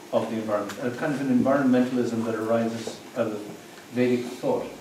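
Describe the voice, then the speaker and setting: Over noticeable background noise and audible room echo, a man talks at a fairly quick pace. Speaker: presenter. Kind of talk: introductory talk to a seminar group. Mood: relaxed, humorous. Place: meeting room. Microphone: camera far.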